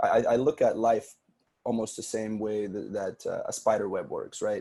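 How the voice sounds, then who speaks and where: A man speaks with an Arabic accent. His pace is moderate. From Sudanese family, grew up in Saudi Arabia. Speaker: podcast producer. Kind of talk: podcast interview.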